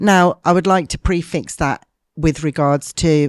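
Against a quiet background, an unremarkable speaking voice moves at a fairly slow pace with ordinary pitch variation. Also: woman. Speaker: martial arts business leader. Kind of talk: interview conversation.

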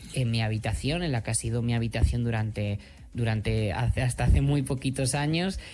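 Over background music, a man's voice holds a medium pitch. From Madrid, Spain. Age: 30s. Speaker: HIV activist and author. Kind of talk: interview.

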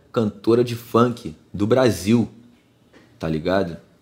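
With a Rio de Janeiro accent, this voice moves at a very slow pace and keeps an ordinary amount of pitch variation. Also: man. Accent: Carioca Brazilian Portuguese. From Rio de Janeiro, Brazil. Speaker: rapper. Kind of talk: casual chat.

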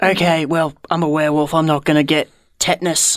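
A put-on character voice, gravelly and raspy, moves at a fairly quick pace. Its intonation stays monotone and flat. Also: man, fairly high pitch for a man. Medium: actual play. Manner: gruff, blunt, deadpan.

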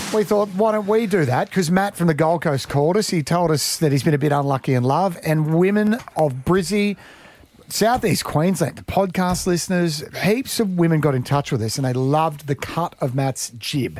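With lively intonation and a moderate pace, a man talks in an unremarkable speaking voice pitched fairly high. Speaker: radio host. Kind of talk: casual radio banter. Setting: studio.

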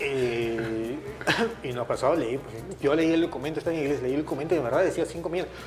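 Amid noticeable background noise and audible room echo, a man with a fairly high voice speaks at a fairly quick pace with ordinary pitch variation. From Peru, Lima (Surco). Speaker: retired footballer. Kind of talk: interview. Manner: halting.

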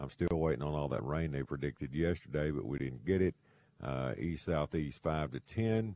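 A dark, mellow voice with an American accent, moderate pace and ordinary pitch variation. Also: man, very deep, low pitch for a man. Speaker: radio host, fishing guide. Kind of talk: call-in radio show. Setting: studio.

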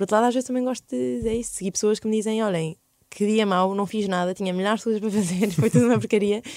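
A woman's medium-pitched voice, dark and mellow, at a very fast pace with ordinary pitch variation. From Belgium (Brussels), Portuguese parents. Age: 20s. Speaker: medical doctor and health podcaster. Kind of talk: casual interview chat.

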